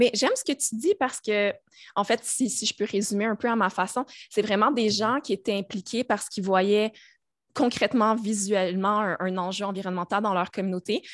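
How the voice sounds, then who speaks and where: At a moderate pace, a woman with a Quebec accent speaks at a medium pitch with fairly even intonation in a very clean, dry recording with no echo and a silent background. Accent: Québécois French. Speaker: podcast host. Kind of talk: casual interview.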